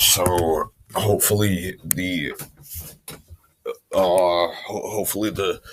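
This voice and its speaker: Very slowly, a man talks with long, frequent pauses. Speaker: video blogger. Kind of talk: casual monologue. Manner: stuttering and stammering.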